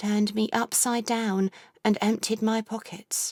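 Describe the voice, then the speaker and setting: A woman speaks on a very clean recording with a silent background and a dry, close sound that has no echo. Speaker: audiobook narrator. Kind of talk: audiobook narration. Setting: home studio. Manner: intimate, reflective.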